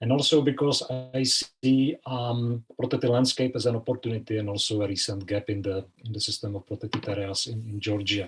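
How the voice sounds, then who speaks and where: At a fairly quick pace, a man with a Czech accent speaks in a somewhat breathy voice of medium pitch with fairly even intonation. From Czech Republic. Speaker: conservation expert. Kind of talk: presentation. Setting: online video call.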